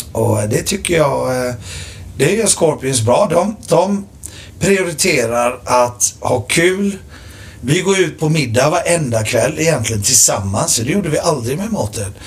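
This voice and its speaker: Over noticeable background noise, a man with a fairly high voice speaks fairly slowly, his pitch swinging very widely. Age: 40s. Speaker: rock drummer. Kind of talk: casual chat.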